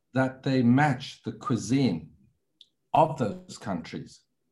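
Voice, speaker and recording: The man's voice sits at medium pitch with vocal fry. He talks fairly slowly. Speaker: wine educator, institute director. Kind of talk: interview.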